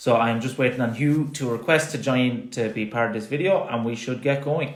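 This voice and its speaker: A strong Irish accent at a fairly quick pace with fairly even intonation, over audible room echo and noticeable background noise. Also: man, medium pitch for a man. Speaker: sports science consultant, live stream host. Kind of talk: live-stream interview. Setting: Instagram Live video stream.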